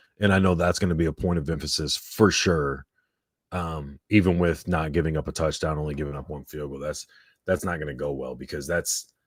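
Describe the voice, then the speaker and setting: On a very clean recording with a silent background, a man with a very deep, low pitch and vocal fry talks at a fairly quick pace with fairly even intonation. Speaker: sports podcast co-host. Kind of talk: live sports reaction chat. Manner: monotone.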